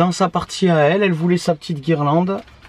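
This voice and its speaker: Against noticeable background noise, a man with a high-pitched voice speaks with fairly even intonation. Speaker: family vlogger. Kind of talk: casual vlog talk. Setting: in a camper van. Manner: hesitant.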